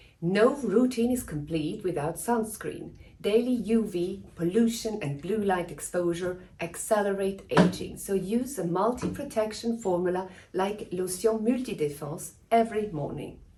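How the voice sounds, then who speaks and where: A woman speaks at a fairly slow pace with ordinary pitch variation. Audible room echo is present. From Switzerland. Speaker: dermatologist. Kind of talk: scripted tutorial. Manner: formal.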